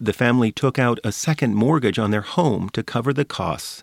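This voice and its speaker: A man speaks at a fairly quick pace in a plain, everyday voice of medium pitch, with ordinary pitch variation and a dry, close sound with no echo. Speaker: radio reporter. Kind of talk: scripted narration.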